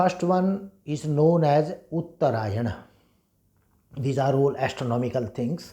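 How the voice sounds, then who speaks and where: Somewhat breathy and dark, mellow in tone, a man speaks at a very slow pace with lively intonation. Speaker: Vedic scholar and teacher. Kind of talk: lecture.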